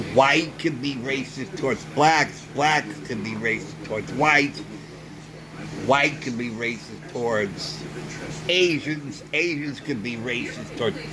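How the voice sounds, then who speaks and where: Over noticeable background noise and audible room echo, a man with an American accent speaks at a fairly slow pace, using a medium pitch and ordinary pitch variation. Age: 60s. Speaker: vlogger. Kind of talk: opinion monologue. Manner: emphatic.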